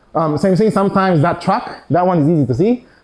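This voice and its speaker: A man is talking. His voice has a dark, mellow tone. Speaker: physicist giving an invited talk. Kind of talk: lecture. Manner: fast; halting, many fillers and restarts.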